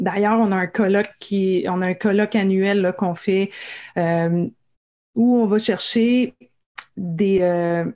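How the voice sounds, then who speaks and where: Her tone is dark and mellow, with medium pitch and fairly even intonation. The woman speaks at a very slow pace. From Quebec, Gaspésie. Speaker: science communicator. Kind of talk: interview.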